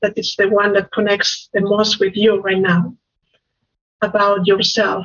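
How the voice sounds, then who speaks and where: A moderate pace in a Spanish accent against a quiet background. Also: woman. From Spain. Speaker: life coach. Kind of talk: interview. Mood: warm, gentle guidance. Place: home room. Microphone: video call.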